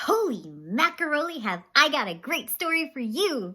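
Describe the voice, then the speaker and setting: In a raised, projected voice, the speaker moves at a fairly slow pace with very wide pitch swings. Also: woman. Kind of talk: children's story read-aloud. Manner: animated, expressive.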